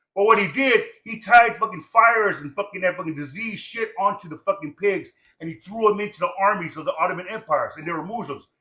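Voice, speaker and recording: With a raised, projected voice and an animated tone, a man speaks very fast at a high pitch, with ordinary pitch variation and big swings in loudness. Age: 60s. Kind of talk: casual chat.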